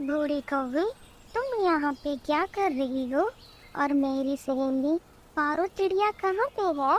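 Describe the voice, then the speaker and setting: A female-sounding, cartoonish character voice, pitched high for a woman and delivered at a fairly slow pace. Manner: coquettish.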